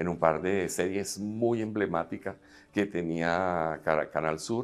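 This man speaks fairly slowly, his very deep, low voice showing ordinary pitch variation. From Venezuela. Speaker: filmmaker and actor; actor. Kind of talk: interview. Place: hall.

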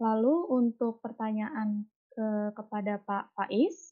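A woman's fairly high voice with ordinary pitch variation, over faint music in the background. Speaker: webinar moderator. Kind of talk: moderating. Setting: video call.

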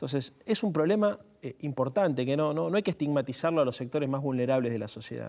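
With a Rioplatense accent, a man talks very fast in a dark, mellow tone, his pitch fairly high and his intonation lively, against a quiet background. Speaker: youth political activist; guest. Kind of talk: panel discussion. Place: studio.

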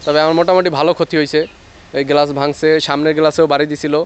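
A man's fairly high voice comes through with noticeable noise in the background. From Bangladesh, rural union. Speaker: driver, victim of vandalism. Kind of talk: interview testimony.

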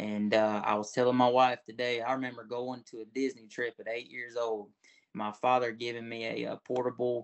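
The speaker has a Southern US accent and a monotone, flat intonation. The pace is moderate and the background quiet. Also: man. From Florida Panhandle. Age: 20s. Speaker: talent show contestant. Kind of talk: interview. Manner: casual. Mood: warm, earnest. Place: home room. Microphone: video call.

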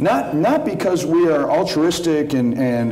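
Light background noise and audible room echo around a man's speech. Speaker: guest. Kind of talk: panel discussion answer. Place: stage.

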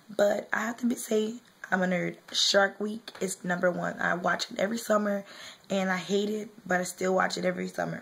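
Flat, monotone delivery at a moderate pace. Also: woman, medium pitch for a woman. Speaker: beauty vlogger. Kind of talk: casual talk to camera.

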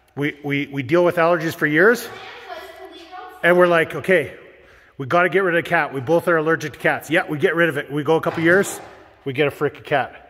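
With long, frequent pauses and a fairly high pitch, a man speaks in an animated tone over noticeable background noise. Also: fairly quick pace. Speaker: DIY home build vlogger. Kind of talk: casual vlog chat.

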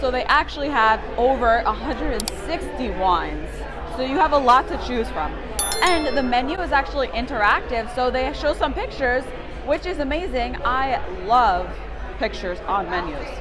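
Clear music sits in the background as a woman speaks at a moderate pace. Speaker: vlogger. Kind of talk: casual vlog chat. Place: bar. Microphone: phone near.

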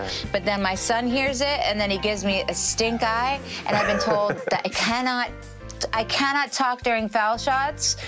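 A woman speaks at a moderate pace in a Long Island accent. Loud music plays behind her. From Long Island, New York. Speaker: singer and actress. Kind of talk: TV interview answer. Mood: warm, animated, playful. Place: studio. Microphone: lapel.

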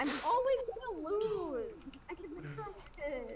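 Put-on character voice at an extremely high pitch and fairly slow pace, with clear background noise. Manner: pouty.

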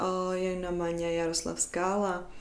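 A woman speaks at a medium pitch and a fairly slow pace. Room echo can be heard. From Czech Republic. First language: Czech (speaking Indonesian). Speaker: YouTuber; educational vlogger. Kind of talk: educational vlog; educational vlog talk. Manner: hesitant with frequent fillers. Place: home room.

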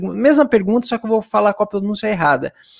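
A man against a quiet background. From Brazil. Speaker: English teacher. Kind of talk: tutorial. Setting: live stream. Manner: animated. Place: home room. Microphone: studio mic.

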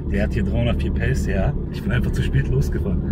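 Loud background noise beneath a man's dry, echo-free voice. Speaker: car mechanic vlogger. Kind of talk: casual vlog chat. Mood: excited, enthusiastic. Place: car. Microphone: phone near.

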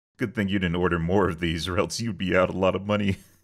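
Delivered very fast in a raspy, put-on character voice, the speech stays monotone and flat. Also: man, very deep, low pitch for a man. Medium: cartoon.

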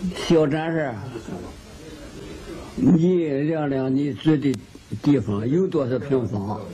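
Speaking very slowly in a Qingdao accent, a man with fairly high pitch is heard over light background noise. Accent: old Qingdao dialect, Jiaoliao Mandarin. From Qingdao, Shandong. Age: old. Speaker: elderly local resident. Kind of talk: interview answer.

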